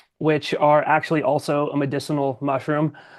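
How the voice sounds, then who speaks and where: Set against a quiet background, the speaker talks at a moderate pace with an American accent and monotone, flat intonation. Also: man. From US Southwest (New Mexico). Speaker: military veteran and coffee entrepreneur. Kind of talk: interview.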